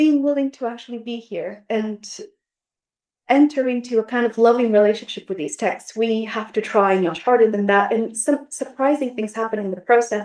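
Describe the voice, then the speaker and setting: In a Bulgarian accent, a woman with a fairly high pitch speaks at a moderate pace with ordinary pitch variation. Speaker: literature scholar. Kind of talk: academic roundtable discussion. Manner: hesitant, with many fillers.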